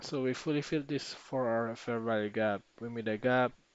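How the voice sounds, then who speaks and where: A man with a non-native accent speaks at a fairly quick pace. His pitch sits in the medium range. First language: not English. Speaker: trading streamer. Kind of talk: live trading backtest tutorial. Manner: halting.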